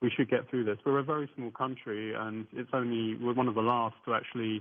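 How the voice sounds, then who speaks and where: A man with an English accent, medium in pitch, fairly quick, with monotone, flat intonation. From southern England. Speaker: attorney and UFO researcher. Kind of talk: radio interview. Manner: hesitant, many fillers.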